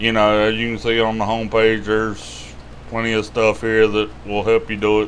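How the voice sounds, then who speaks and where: In a Southern US accent, a man speaks at a moderate pace with a fairly low pitch. His intonation is monotone and flat, with light background noise. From US South. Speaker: YouTube money-tips host. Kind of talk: tutorial. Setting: screen-share video. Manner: casual, rambling. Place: home room. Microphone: webcam.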